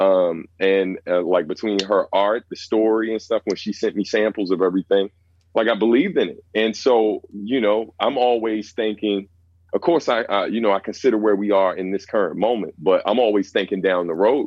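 Fairly even intonation and a fairly low pitch mark a man talking at a moderate pace. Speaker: rapper. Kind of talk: casual chat.

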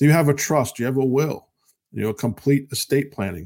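In an unremarkable speaking voice of medium pitch, a man talks at a fairly quick pace with ordinary pitch variation, recorded very cleanly against a silent background. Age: 50s. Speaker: radio host and financial advisor. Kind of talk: casual radio talk.

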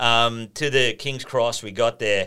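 In an Australian accent, a man talks with a bright, sharp tone. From rural northern New South Wales, near Queensland border. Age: 30s. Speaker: podcast guest. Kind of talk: casual chat.

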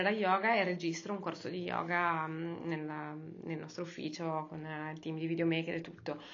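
Speech comes at a moderate pace with audible room echo. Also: woman. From Sardinia, Cagliari. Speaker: yoga teacher and startup founder. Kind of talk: interview.

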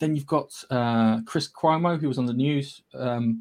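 Fairly even intonation in an unremarkable speaking voice. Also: man. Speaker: podcast host. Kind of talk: casual banter podcast chat. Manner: joking, profane, playful.

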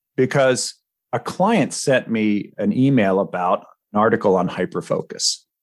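At a fairly slow pace, a man talks in a medium pitch with very wide pitch swings and very even loudness. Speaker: podcast co-host and ADHD coach. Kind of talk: podcast discussion.

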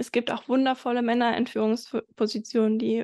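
A woman speaks in a high pitch with flat, monotone intonation, and the sound is dry and close with no echo. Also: quiet background. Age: 20s. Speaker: entrepreneur and business mentor. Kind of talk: interview.

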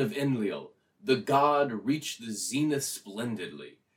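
Speaking fairly slowly with lively intonation and a fairly high pitch, a man has a normal speaking voice. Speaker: podcast guest. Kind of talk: reading aloud and casual chat. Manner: jokey, laughs often.

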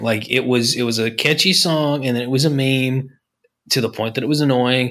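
This man has a plain, everyday voice, speaking at a moderate pace in a medium pitch with ordinary pitch variation. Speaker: podcast co-host. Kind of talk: casual chat.

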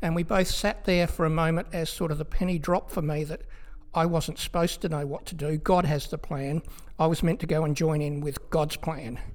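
A man speaks with an Australian accent at a fairly quick pace. His voice sits fairly high in pitch. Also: fairly even intonation. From South Australia. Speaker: pastor. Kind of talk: interview.

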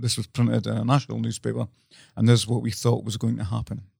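A dark, mellow tone in a Scottish accent, with a dry, close sound and no echo. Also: man. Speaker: podcast co-host. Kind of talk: casual chat.

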